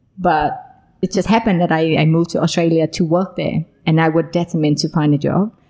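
In a Vietnamese accent, a woman speaks at a very fast pace with very even loudness. Her voice is fairly low, with a dark, mellow tone. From Vietnam (born Hanoi, raised Saigon). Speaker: social enterprise founder. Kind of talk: casual interview. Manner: animated, laughs often.

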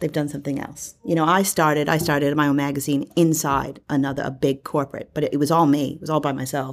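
A woman's very deep, low voice, very fast and monotone with flat intonation, on a very clean recording with a silent background. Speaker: commentator. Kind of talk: casual panel chat.

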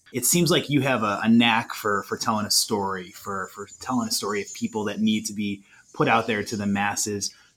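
A man with a plain, everyday voice talks at a fairly quick pace and a fairly low pitch, with ordinary pitch variation and hardly any pauses. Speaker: podcast host and university alumni staffer. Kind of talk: interview questions.

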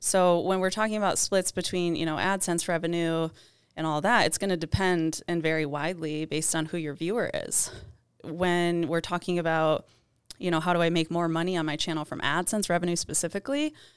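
A woman with a plain, everyday voice talks at a fairly quick pace and a fairly low pitch, her intonation fairly even, on a very clean recording with a silent background. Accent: American. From Michigan, US Midwest. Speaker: YouTube consultant. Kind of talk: interview. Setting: studio.

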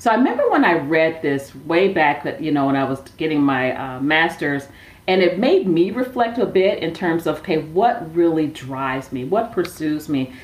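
A woman speaks in an American accent with a normal speaking voice and a fairly low pitch. Her intonation is lively and her pace moderate. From Milwaukee, Wisconsin, US Midwest. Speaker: social enterprise founder. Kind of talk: interview. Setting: remote call.

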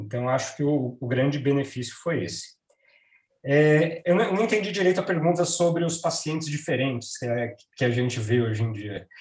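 A somewhat breathy man speaks at a moderate pace with lively intonation and a fairly high pitch. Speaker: radiation oncologist. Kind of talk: professional panel discussion.

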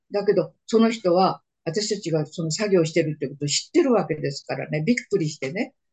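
A woman with a fairly low pitch talks at a fairly quick pace with hardly any pauses, her somewhat breathy voice showing lively intonation and big swings in loudness. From Manchuria (northeast China), Japanese settler community. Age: 90s. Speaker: war survivor. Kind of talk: interview testimony.

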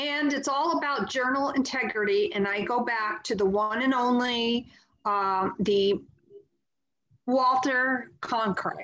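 Very slow pace, bright and sharp tone, in an American accent. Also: woman. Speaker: podcast host. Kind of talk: casual chat.

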